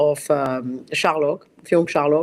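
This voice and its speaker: A woman speaks at a fairly slow pace with a French accent. The recording is very clean, with a silent background. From France. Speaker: costume designer. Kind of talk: interview. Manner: halting.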